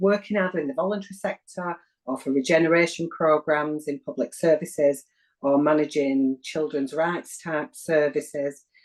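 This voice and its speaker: Speaking with a northern English accent, a woman uses a very deep, low pitch. Her pace is moderate, with ordinary pitch variation. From northern England, Wigan. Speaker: community development practitioner. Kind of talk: interview.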